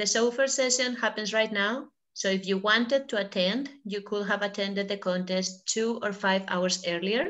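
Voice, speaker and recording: Against a quiet background, a woman with a Spanish accent talks at medium pitch with ordinary pitch variation. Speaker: online workshop facilitator. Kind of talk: casual chat.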